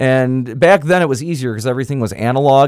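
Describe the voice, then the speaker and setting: This man has a medium-pitched voice with ordinary pitch variation. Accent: American. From Michigan (Kalamazoo area). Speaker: radio host and podcaster. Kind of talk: casual chat. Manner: hesitant, frequent uh fillers.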